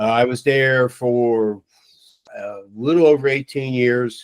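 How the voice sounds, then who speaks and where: Speaking in an ordinary speaking voice with an American accent, a man holds a medium pitch with ordinary pitch variation. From Long Island, New York. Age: 60s. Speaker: retired fire chief. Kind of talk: casual interview.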